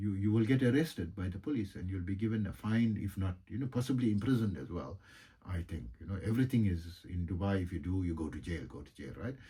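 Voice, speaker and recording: At a very fast pace, a man talks in a fairly low pitch with a dark, mellow tone, somewhat breathy delivery, and lively intonation. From South Africa. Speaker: yoga and meditation teacher, energy healer. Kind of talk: casual monologue. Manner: halting, many fillers.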